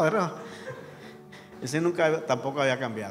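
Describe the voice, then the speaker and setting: Amid music in the background and audible room echo, a man with a fairly high voice speaks at a very fast pace. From Colombian Caribbean coast (Sucre/Córdoba region). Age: 60s. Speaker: guest pastor. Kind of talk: sermon. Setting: church.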